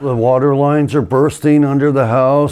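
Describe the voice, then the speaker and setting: A man's voice over noticeable background noise. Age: 60s. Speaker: homeowner telling his story. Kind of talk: personal testimony. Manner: halting, many fillers.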